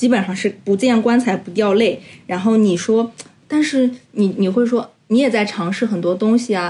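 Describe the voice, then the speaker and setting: Dark, mellow tone, somewhat breathy. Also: woman, fairly high pitch for a woman, ordinary pitch variation, moderate pace. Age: 30s. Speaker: podcast co-host. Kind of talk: casual chat.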